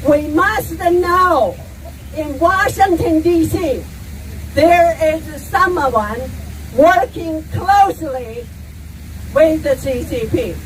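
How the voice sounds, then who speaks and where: Against noticeable background noise, a woman with an extremely high pitch and lively intonation talks at a very slow pace, leaving long, frequent pauses. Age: 60s. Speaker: protest speaker. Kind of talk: speech at rally.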